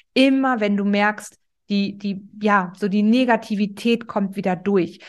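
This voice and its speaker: A medium-pitched female voice at a fairly slow pace, against a quiet background. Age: 30s. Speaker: podcast host, self-love coach. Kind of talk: motivational monologue. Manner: animated.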